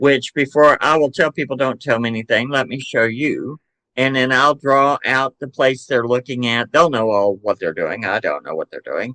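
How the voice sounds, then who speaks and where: A man with a Southern US accent speaks at medium pitch in a bright, sharp tone, with ordinary pitch variation and hardly any pauses. The sound is dry and close with no echo. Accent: Southern drawl. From Chattanooga, Tennessee, US South. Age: 60s. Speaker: psychic medium and paranormal investigator. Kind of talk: podcast interview. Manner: casual, hesitant with fillers.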